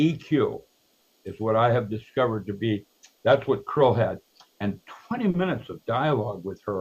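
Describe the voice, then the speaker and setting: Pausing long and often, a man at a medium pitch speaks in a somewhat breathy voice. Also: ordinary pitch variation, moderate pace. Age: 80s+. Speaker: researcher and author. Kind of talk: interview. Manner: circling, hesitant.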